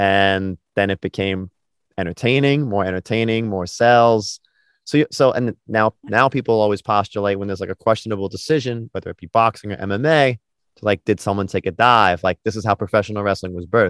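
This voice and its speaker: A man with an American accent and a normal speaking voice talks at a fairly quick pace and fairly low pitch, with ordinary pitch variation, in a dry, close sound with no echo on a very clean recording with a silent background. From New York. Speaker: podcast host. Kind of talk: casual interview chat.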